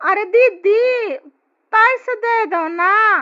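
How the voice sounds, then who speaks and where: A woman performs a squeaky, cartoonish character voice. Her pitch is extremely high. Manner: roundabout, playful.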